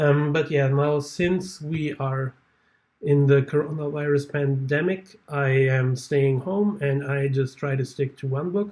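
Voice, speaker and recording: With a non-native accent, a man speaks at a fairly slow pace in a fairly high, somewhat breathy voice with fairly even intonation. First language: not English. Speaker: booktuber. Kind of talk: casual vlog talk. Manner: halting.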